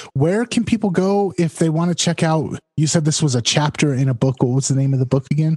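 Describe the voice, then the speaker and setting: A plain, everyday voice from a man, fairly high in pitch, with ordinary pitch variation, fairly quick with hardly any pauses, very even loudness, dry, close sound with no echo. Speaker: podcast co-host. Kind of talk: casual podcast chat.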